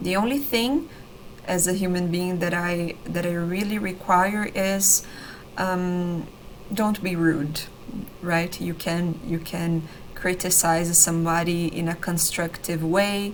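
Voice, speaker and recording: A woman with a Brazilian accent speaks at a very slow pace and fairly low pitch with fairly even intonation, amid audible room echo and noticeable background noise. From Brazil, São Paulo state countryside. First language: Brazilian Portuguese. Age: 30s. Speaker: language teacher. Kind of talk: online lesson / tutorial. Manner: hesitant, many fillers and repetitions.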